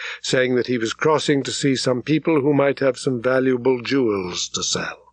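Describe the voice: Fairly even intonation in plain reading aloud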